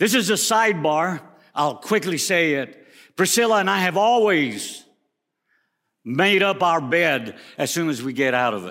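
At a moderate pace broken by long, frequent pauses, a man speaks with a high pitch and very wide pitch swings. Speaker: preacher. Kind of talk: sermon. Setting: chapel with livestream.

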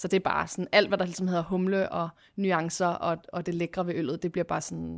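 In a very clean recording with a silent background, a woman speaks with fairly low pitch and monotone, flat intonation. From Copenhagen, Denmark (Christianshavn). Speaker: craft brewer. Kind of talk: casual interview.

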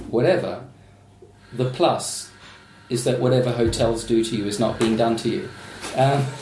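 Noticeable background noise and audible room echo surround a man's medium-pitched voice as he talks at a moderate pace with ordinary pitch variation and long, frequent pauses. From Australia. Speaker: novelist. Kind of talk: casual chat.

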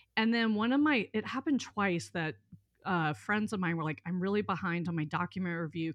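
Over a quiet background, a woman with an American accent and a plain, everyday voice speaks at a medium pitch and a fairly quick pace, her intonation lively. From US South, southern Mississippi. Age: 40s. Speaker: life coach, former attorney. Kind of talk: casual interview.

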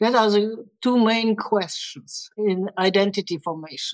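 At a moderate pace, a woman speaks in a plain, everyday voice, fairly high in pitch with ordinary variation. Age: 60s. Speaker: director of training. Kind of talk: podcast interview.

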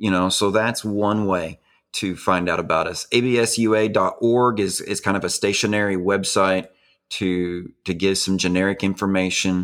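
Speaking in an Arkansas accent, a man keeps a fairly low, monotone, flat delivery at a moderate pace on a very clean recording with a silent background. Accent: Southern US (Arkansas). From Arkansas, rural Benton County. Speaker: pastor. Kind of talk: interview.

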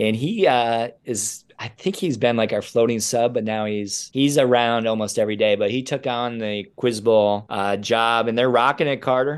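An ordinary speaking voice with an American accent moves at a moderate pace with ordinary pitch variation and hardly any pauses. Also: man, medium pitch for a man. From upstate New York (Rochester). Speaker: high school teacher. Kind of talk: casual interview.

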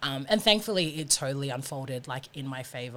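This woman has a very deep, low voice and talks at a fairly quick pace. The recording is very clean with a silent background. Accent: Australian. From Sydney, Australia (Fijian family). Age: 20s. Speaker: rugby union player. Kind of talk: interview. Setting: studio.

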